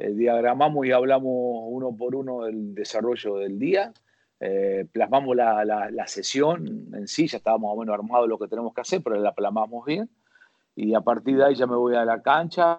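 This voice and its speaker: Here is an ordinary speaking voice from a man at a medium pitch. He keeps a moderate pace with ordinary pitch variation. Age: 50s. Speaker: football fitness coach. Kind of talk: interview.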